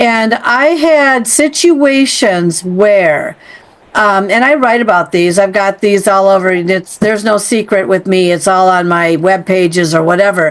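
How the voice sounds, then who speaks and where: A woman with an unremarkable speaking voice talks fairly slowly at a medium pitch, her intonation lively and her loudness very even. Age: 60s. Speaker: podcast host. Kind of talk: interview conversation.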